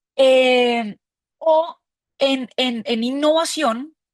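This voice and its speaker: A dry, close sound with no echo and lively intonation. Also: woman. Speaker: crowdfunding platform representative. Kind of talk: webinar mentoring talk. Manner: hesitant, repeats words.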